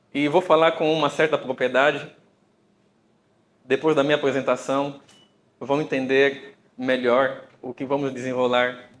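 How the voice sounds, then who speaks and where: A man talks at a fairly slow pace with medium pitch and long, frequent pauses. His intonation is monotone and flat. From Brazil, Bakongo family from Angola. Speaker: computer engineer and data scientist, speaker. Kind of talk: conference talk. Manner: hesitant, with fillers.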